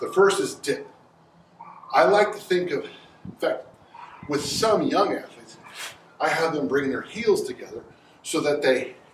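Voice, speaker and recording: Here a man talks at a moderate pace. Audible room echo and light background noise surround his voice. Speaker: strength coach. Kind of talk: tutorial. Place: garage. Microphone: camera far.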